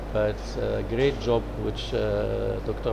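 Noticeable noise sits behind a man as he talks. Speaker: conference interviewee. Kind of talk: interview answer. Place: hall. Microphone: lapel.

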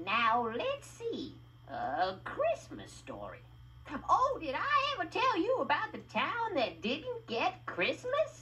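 With a bright, sharp tone, a cartoonish character voice swings very widely in pitch at a slow pace.

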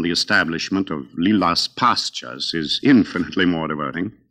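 A man's bright, sharp voice with vocal fry and an American accent, at a moderate pace against a quiet background. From United States. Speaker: opera singer and radio host. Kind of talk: radio program hosting. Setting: radio broadcast. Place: studio. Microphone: old recording.

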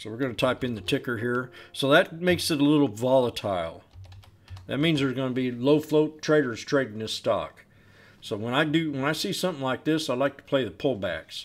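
With an American accent, a man speaks fairly quickly at a medium pitch, his pitch varying in an ordinary way. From US Pacific Northwest, Portland, Oregon. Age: 50s. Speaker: stock trader, market commentator. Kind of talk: tutorial; casual chat. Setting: screen-share recording. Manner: conversational. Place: home room.

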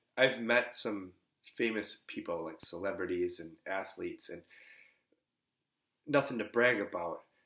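With audible room echo, a man speaks with big swings in loudness and long, frequent pauses. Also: quiet background. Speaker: Lutheran pastor. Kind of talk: sermon. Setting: pre-recorded, delivered from another location. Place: home room. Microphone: webcam.

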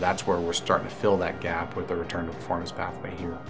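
Music plays clearly in the background. Over it, a man talks. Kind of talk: interview answer. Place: office. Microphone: lapel.

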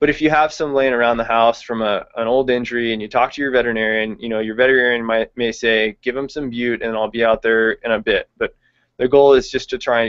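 A man with an American accent, very fast and monotone with flat intonation, against a quiet background. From California, Visalia; California. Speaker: veterinary intern; presenter. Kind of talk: webinar lecture. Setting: online video hangout. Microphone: video call.

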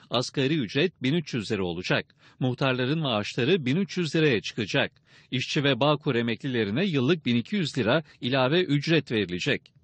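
A man with an unremarkable speaking voice talks at a moderate pace and medium pitch, his loudness very even. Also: lively intonation. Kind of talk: news reading. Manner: formal, brisk broadcast-news delivery, even and authoritative.

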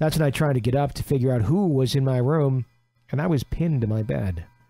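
Music plays behind a man whose voice rises and falls with ordinary pitch variation. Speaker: radio show host. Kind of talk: reading a listener's ghost story aloud.

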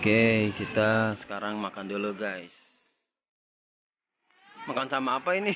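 A man's fairly low voice at a slow pace, with audible room echo

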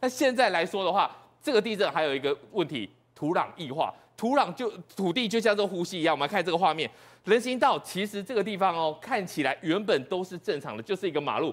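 Lively intonation at a fairly quick pace. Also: man, high pitch for a man. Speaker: TV news panelist. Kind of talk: TV current affairs panel discussion. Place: studio.

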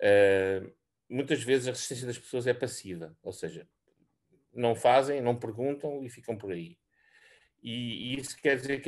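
A man speaks at a moderate pace in an unremarkable speaking voice. His pitch is medium, with ordinary pitch variation. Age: 60s. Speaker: senior research scientist. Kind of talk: presentation. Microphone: video call.

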